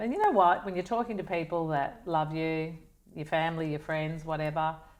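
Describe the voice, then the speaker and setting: Speaking at a very fast pace, a woman with an Australian accent has a fairly low pitch. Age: 60s. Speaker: wellness advocate. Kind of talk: casual chat.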